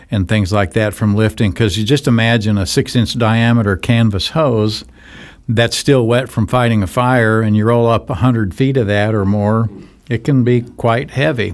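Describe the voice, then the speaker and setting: Here is a man with an unremarkable speaking voice at medium pitch. He keeps a moderate pace, very even loudness and ordinary pitch variation. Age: 60s. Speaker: nonprofit charity director. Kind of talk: interview. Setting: studio.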